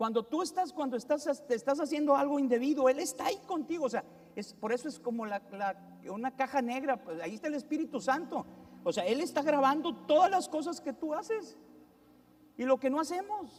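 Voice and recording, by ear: In a northern Mexican accent, a man speaks at a fairly quick pace with an extremely high pitch and lively intonation.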